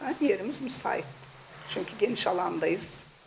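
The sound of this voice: Vocal fry and lively intonation at a moderate pace, over faint background noise. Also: woman, medium pitch for a woman.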